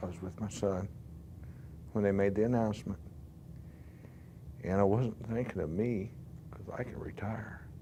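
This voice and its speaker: A man with an American accent speaks at a moderate pace in a fairly low, dark, mellow voice with ordinary pitch variation. Long, frequent pauses and big swings in loudness come through with audible room echo. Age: 70s. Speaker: factory worker. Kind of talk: interview testimony.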